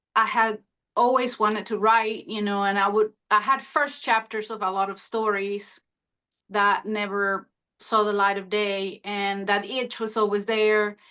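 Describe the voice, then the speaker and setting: A woman with a Spanish accent speaks at a medium pitch in a monotone, flat intonation against a quiet background. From Honduras. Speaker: author. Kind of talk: interview. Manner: hesitant, many fillers.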